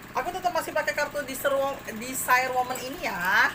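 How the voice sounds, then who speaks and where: Noticeable noise sits in the background. Against it, a woman talks at a fairly quick pace. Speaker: tarot reader. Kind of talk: tarot reading to viewers.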